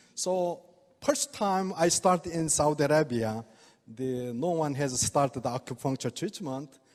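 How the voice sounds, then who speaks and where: With a Korean accent, a man speaks at a fairly high pitch and fairly slow pace with ordinary pitch variation. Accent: non-native English, Korean. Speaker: oriental medicine doctor giving product talk. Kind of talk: product presentation to audience. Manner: halting.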